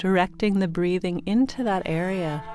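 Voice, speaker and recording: A woman speaks in a soothing, calm tone at a fairly low pitch and a fairly slow pace. Music plays in the background. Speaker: meditation guide. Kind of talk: guided sleep meditation. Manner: soothing, slow, calm.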